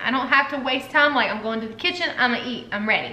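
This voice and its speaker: A woman with a high pitch and ordinary pitch variation is heard with audible room echo. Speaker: wellness vlogger. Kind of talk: casual vlog chat. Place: home room. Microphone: camera far.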